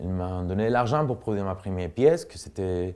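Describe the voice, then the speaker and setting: A man speaks with a Spanish accent in a very deep, low voice with a dark, mellow tone against a quiet background. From Spain, Cuenca (Castile). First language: Spanish (speaking French). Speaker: artist and dancer. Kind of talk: interview, personal story. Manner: halting, many fillers and repetitions.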